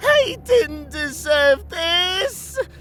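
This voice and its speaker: A woman's squeaky, put-on character voice over clear background noise. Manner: anguished, shouting.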